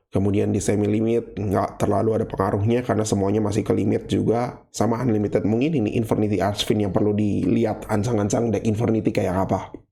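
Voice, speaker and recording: A man with a fairly low pitch, talking at a very fast pace with hardly any pauses, monotone, flat intonation and very even loudness, over noticeable background noise. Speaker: gaming YouTuber. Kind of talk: casual monologue. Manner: casual, unscripted single take.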